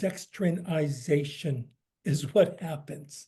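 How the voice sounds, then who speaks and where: Very slow in pace, a man with a fairly high pitch and an American accent speaks in a dark, mellow tone with ordinary pitch variation. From US, San Francisco. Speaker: cookbook author. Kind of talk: lecture Q&A.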